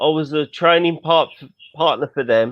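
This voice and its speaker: Fairly even intonation in a man's fairly high-pitched voice. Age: 50s. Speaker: caller in boxing chat, claims former boxer. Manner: halting.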